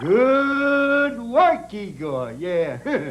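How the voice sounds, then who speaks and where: His pitch is extremely high. The man is doing a put-on character voice. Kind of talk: horror host patter with cheesy one-liners.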